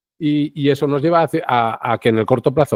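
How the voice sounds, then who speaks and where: Recorded very cleanly against a silent background, with a dry, close sound and no echo, a man speaks at a medium pitch with a dark, mellow tone and ordinary pitch variation. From Spain, Segovia. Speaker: citizen science project leader. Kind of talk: interview conversation. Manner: fast; halting, many restarts.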